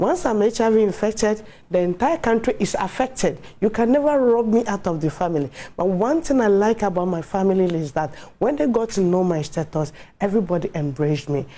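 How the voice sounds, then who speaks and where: With a Ghanaian accent, a woman speaks fairly quickly at a medium pitch in a dark, mellow tone, her pitch swinging very widely while her loudness stays very even. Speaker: HIV awareness advocate. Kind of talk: TV interview testimony.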